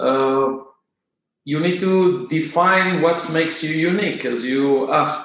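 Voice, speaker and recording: A man with an Israeli accent speaks very slowly, leaving long, frequent pauses, his fairly high pitch held in fairly even intonation. Audible room echo surrounds his voice. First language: Hebrew. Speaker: software company founder and CEO. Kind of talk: interview. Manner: halting, many filler uhs.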